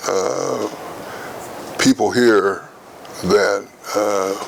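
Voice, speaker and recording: With an American accent, a man's voice comes through noticeable background noise. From rural Missouri, US. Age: 80s+. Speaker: retired administrator, longtime resident. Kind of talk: interview. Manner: halting, many fillers and repetitions.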